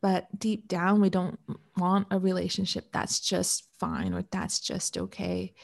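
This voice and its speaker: The speaker has a Canadian accent. The pace is fairly slow. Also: woman. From Canada. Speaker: relationship coach. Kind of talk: interview.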